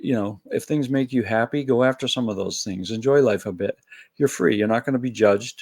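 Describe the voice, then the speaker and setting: Using a normal speaking voice, a man talks at medium pitch and a fairly quick pace with ordinary pitch variation, in a dry, close sound with no echo. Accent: American. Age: 60s. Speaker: spiritual video blogger. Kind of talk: solo reflective monologue. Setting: at home, early morning. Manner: casual, conversational.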